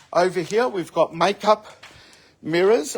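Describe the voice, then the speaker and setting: With an Australian accent, a man speaks at a moderate pace in a high pitch with ordinary pitch variation. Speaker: store owner presenting sale video. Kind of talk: walkthrough sales video.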